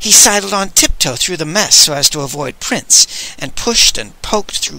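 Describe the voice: The clip is plain reading aloud. Someone reads the words out.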